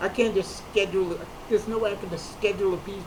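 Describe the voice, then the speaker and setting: Over noticeable background noise, a man talks at a very fast pace in a high voice. His intonation is monotone and flat. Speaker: comedian. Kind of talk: personal talk to camera.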